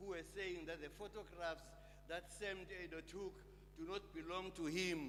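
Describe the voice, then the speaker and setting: A man with a high pitch talks in a fairly even intonation, with audible room echo around him. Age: 80s+. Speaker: sculptor and poet. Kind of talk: memorial lecture speech. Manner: halting, many fillers.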